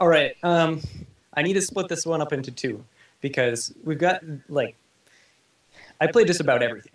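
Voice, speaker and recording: This man has a fairly high pitch and a lively intonation, talking at a moderate pace. His long, frequent pauses carry an audible room echo. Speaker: website founder. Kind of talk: interview. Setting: online call. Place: home room. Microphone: video call.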